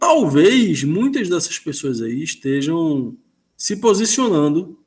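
A man's high-pitched voice with lively intonation, on a very clean recording with a silent background. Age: 30s. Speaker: football commentator. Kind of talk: casual football discussion. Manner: halting, repeats words.

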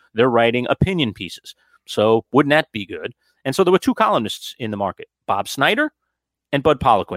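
This man has a plain, everyday voice, fairly high in pitch, and moves at a fairly quick pace. The sound is dry and close with no echo, on a very clean recording with a silent background. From New York City (Queens). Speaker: sports radio host and broadcasting professor. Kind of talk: interview.

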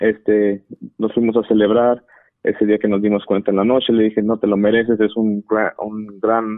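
A man speaks at a moderate pace. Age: 20s. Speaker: caller. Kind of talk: personal story on call-in show.

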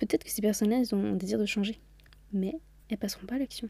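A woman speaks very fast in a somewhat breathy voice with a dark, mellow tone, on a very clean recording with a silent background. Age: 20s. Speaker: podcast host. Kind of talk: solo motivational monologue. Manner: casual, chatty.

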